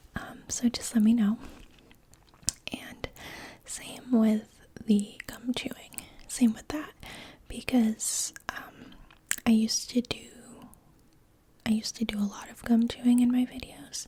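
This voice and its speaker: Whispering and soft-spoken, a woman talks at a fairly slow pace with long, frequent pauses and big swings in loudness, over noticeable background noise. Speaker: ASMR creator. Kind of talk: ASMR soft-spoken reading. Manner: soft-spoken whisper; hesitant, many ums.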